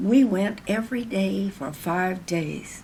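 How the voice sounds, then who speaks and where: A woman's somewhat breathy voice at medium pitch, with ordinary pitch variation and an American accent. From Ohio, USA. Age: 80s+. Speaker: civil rights activist. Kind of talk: documentary interview answer. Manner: measured, reflective, with hesitations.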